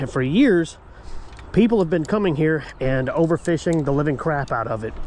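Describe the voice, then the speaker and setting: This man's voice sits fairly high and moves with lively intonation at a moderate pace. Noticeable background noise runs behind him. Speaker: fishing channel host. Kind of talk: casual vlog narration. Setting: outdoors at a lake.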